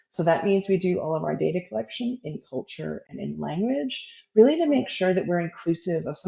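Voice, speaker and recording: The speech moves at a fairly quick pace with an American accent. Noticeable background noise can be heard. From US, Oregon. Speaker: evaluation researcher. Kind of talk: webinar interview. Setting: video call.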